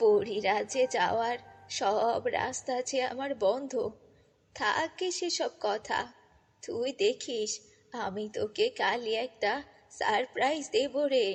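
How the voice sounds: Faint music plays behind a woman doing a put-on character voice, slow and fairly high-pitched with a slightly husky edge. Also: ordinary pitch variation.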